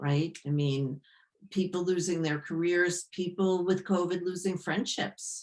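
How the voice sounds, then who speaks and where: Using an ordinary speaking voice, a woman speaks fairly low and fairly slow, with fairly even intonation and very even loudness. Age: 60s. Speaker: yoga therapist. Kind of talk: interview.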